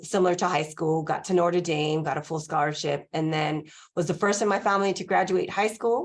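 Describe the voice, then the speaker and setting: Speaking at a fairly quick pace, a woman with a Spanish accent uses a fairly low pitch and fairly even intonation over a quiet background. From Los Angeles, California. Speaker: college president. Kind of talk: podcast interview.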